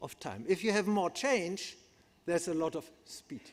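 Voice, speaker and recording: This man has a high pitch and a German accent. His pitch varies in an ordinary way. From Germany. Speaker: psychiatrist and neuroscientist. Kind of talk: conference lecture. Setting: conference hall with audience.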